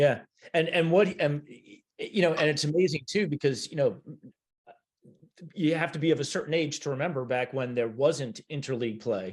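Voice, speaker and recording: At a moderate pace, a man with an American accent speaks in a fairly high, somewhat breathy voice. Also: ordinary pitch variation. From US Midwest, Cleveland and Minneapolis. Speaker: podcast host. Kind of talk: interview.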